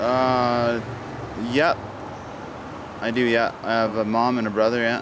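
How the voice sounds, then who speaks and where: A man's medium-pitched, monotone, flat voice at a fairly slow pace, with long, frequent pauses, audible room echo and noticeable background noise. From Vancouver, Canada. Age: 30s. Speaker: drug user interviewed on street. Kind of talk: street interview.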